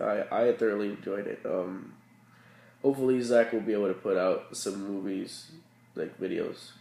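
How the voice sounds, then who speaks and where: Putting on a raspy character voice, a man speaks at medium pitch and a moderate pace with a tired tone. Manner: tired, rambling.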